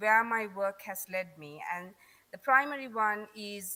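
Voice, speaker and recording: A woman's fairly slow speech with a Sri Lankan accent, a bright, sharp tone and lively intonation. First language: Tamil. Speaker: conference speaker on accents. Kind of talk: conference talk.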